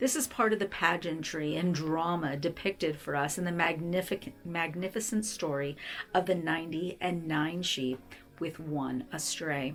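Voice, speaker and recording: Over music in the background, a woman talks at a moderate pace in a fairly low voice with ordinary pitch variation. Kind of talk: devotional book reading. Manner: gentle, tender.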